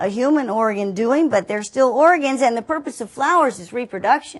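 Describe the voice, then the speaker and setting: A woman talks with a Southern US accent and a high pitch. Her intonation is lively. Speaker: teacher. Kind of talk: lecture. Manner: conversational, direct address to students.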